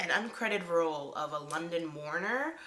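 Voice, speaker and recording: A woman is talking, and noticeable background noise can be heard. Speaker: YouTuber. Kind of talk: casual vlog. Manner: animated; stammering.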